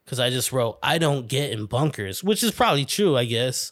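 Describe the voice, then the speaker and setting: On a very clean recording with a silent background, a man speaks at a moderate pace in an animated tone with lively intonation. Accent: New York. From New York. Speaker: podcast host. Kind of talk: casual solo monologue. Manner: rambling.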